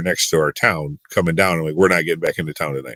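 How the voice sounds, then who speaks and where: This man talks with a Midwestern US accent and ordinary pitch variation. The sound is dry and close, with no echo. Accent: US Midwest. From Michigan. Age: 40s. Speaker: youth and sports minister. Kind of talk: casual interview storytelling. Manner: animated.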